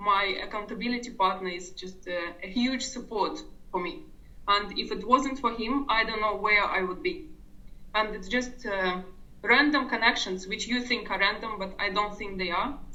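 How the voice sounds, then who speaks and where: A woman speaks at a moderate pace with fairly high pitch and ordinary variation. The room echo is audible and background noise is noticeable. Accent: non-native. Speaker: online business coaching member. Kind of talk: interview.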